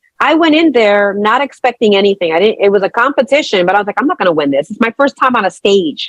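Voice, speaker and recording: Speaking very fast, a woman with an American accent uses a fairly high voice that swings very widely in pitch. The sound is dry and close, with no echo. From New York City (Brooklyn). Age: 50s. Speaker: nurse. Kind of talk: interview. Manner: unscripted, conversational.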